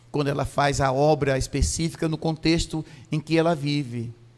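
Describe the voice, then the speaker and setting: On a very clean recording with a silent background, a man talks at a moderate pace in a fairly high pitch with monotone, flat intonation. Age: 60s. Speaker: pastor. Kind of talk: sermon. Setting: church.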